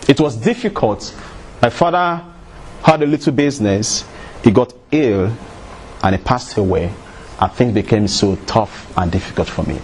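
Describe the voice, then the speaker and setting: With a Nigerian accent, this speaker talks at a moderate pace, pitch swinging very widely, with long, frequent pauses and noticeable background noise. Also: man, medium pitch for a man. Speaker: motivational speaker. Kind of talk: motivational talk.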